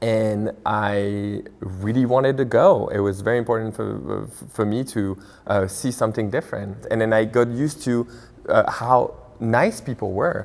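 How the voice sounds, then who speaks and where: A man's medium-pitched voice in a French accent, at a moderate pace with fairly even intonation. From France. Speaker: restaurant owner. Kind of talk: interview.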